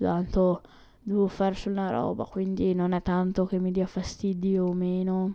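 At a medium pitch, a woman speaks with monotone, flat intonation. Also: moderate pace. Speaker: podcaster. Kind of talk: casual monologue. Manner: halting. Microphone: new USB microphone.

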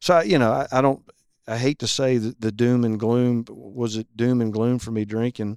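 In a very clean recording with a silent background and a dry, close sound with no echo, a man with a plain, everyday voice speaks at a medium pitch and moderate pace with fairly even intonation. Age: 40s. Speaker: gym member, recovering alcoholic. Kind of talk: testimony.

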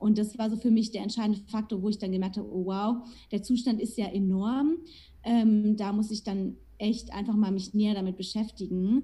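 This woman speaks at a moderate pace in a fairly high pitch, with a dark, mellow tone and a somewhat breathy quality. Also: fairly even intonation. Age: 20s. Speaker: nutrition coach. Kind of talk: casual interview.

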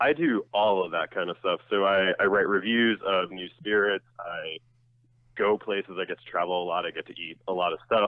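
An American accent and an ordinary speaking voice come from a man with a fairly low pitch, talking at a moderate pace. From New Jersey. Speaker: drinks writer and author. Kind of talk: interview. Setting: phone call.

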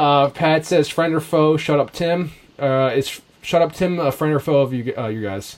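Delivered at a moderate pace, this is an unremarkable speaking voice with ordinary pitch variation. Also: man, fairly high pitch for a man. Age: 30s. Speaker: podcast host. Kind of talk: casual chat.

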